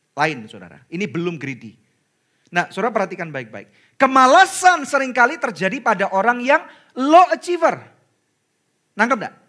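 Using a raised, projected voice, a man speaks at a moderate pace in an extremely high pitch, his bright, sharp, animated tone marked by very wide pitch swings and big swings in loudness. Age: 40s. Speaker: pastor. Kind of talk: sermon.

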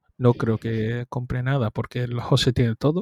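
A man with an ordinary speaking voice at a medium pitch, against a quiet background. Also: dry, close sound with no echo. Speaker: podcast co-host. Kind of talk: casual chat. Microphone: new microphone.

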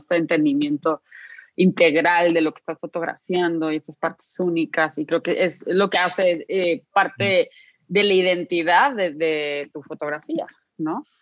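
A woman with a fairly low pitch and ordinary pitch variation talks at a moderate pace in a dry, close sound with no echo. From Guadalajara, Mexico. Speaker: podcast co-host, designer and executive coach. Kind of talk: interview. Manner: animated.

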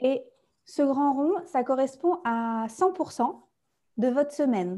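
A woman's dark, mellow tone at a high pitch, with lively intonation and a very slow pace. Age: 30s. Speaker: naturopath and coach for therapists. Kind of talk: interview testimony. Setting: video-recorded podcast.

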